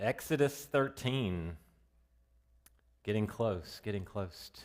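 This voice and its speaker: On a very clean recording with a silent background, a man with a Southern US accent speaks at a very slow pace, with a fairly low pitch and lively intonation. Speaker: Bible teacher. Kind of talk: Bible study lesson. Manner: loud; casual, conversational.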